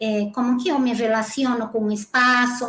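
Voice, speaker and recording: The woman's high-pitched voice keeps to a moderate pace. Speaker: dance movement therapist. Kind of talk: interview.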